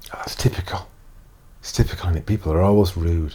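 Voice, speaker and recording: Here a man speaks at a very deep, low pitch. His voice is somewhat breathy, with a dark, mellow tone. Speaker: self-help coach. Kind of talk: inspirational talk to camera.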